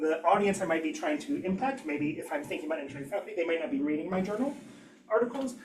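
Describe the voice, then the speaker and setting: A man's high-pitched voice with lively intonation over noticeable background noise. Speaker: engineering education researcher. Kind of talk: academic seminar talk. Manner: fast; hesitant, many fillers.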